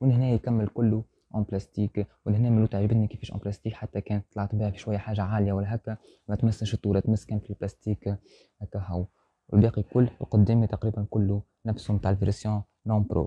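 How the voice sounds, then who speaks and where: Somewhat breathy and fairly low in pitch, a man speaks at a very fast pace with monotone, flat intonation, the sound dry with no echo and the background quiet. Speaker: car reviewer. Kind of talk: car review presentation. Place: shop.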